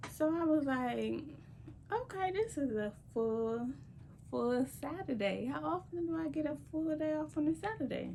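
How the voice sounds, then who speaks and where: Soft-spoken and moving at a moderate pace, a woman lets her pitch swing very widely. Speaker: lifestyle vlogger. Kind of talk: casual vlog talk.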